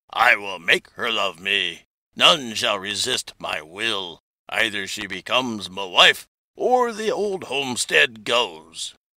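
In a put-on character voice, a man speaks at a fairly slow pace and medium pitch, with big swings in loudness. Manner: stern, threatening.

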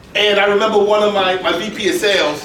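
Speaking at a fairly slow pace, a man with a high pitch sounds animated, with audible room echo and light background noise. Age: 50s. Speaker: business founder and wealth speaker; speaker. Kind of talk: live interview before an audience. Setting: stage with audience at a business club.

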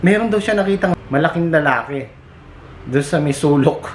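Amid noticeable background noise, a man speaks at a fairly quick pace with ordinary pitch variation. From Philippines. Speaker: vlogger and overseas factory worker. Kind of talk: casual vlog storytelling. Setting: outdoors at a factory compound.

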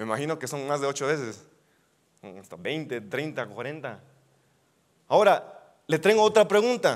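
A man with a fairly high voice talks at a fairly slow pace, his pitch swinging very widely and his loudness shifting a lot. Long, frequent pauses run through it, against a quiet background. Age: 20s. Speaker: youth preacher. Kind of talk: sermon. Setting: church. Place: hall.

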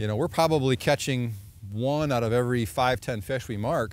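Light background noise is present, and the sound is dry with no echo. A man talks at a fairly quick pace with ordinary pitch variation. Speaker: fishing show host. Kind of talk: outdoor show commentary to camera. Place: open country. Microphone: lapel.

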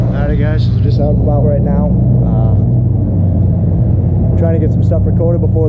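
Loud background noise is present throughout. Over it, a man talks. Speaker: farmer vlogger. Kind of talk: casual vlog chat. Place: hall. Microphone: phone near.

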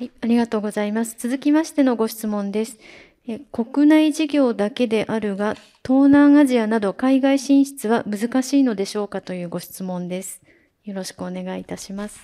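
Against a quiet background, a woman with a fairly high pitch talks at a moderate pace, her loudness swinging widely while her pitch varies in the ordinary way. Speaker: seminar moderator. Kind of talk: moderating Q&A. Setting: seminar venue with audience. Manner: formal. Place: hall.

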